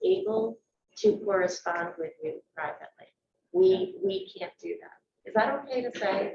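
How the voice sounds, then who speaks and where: With fairly even intonation, a woman talks fairly slowly. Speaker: school board member. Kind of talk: public meeting discussion.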